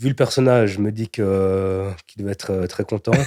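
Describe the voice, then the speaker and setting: A man speaks at a moderate pace. The sound is dry and close with no echo, and the recording is very clean with a silent background. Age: 30s. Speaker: entrepreneur, cabinetmaker. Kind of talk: interview excerpts. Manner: hesitant, with fillers and repetitions.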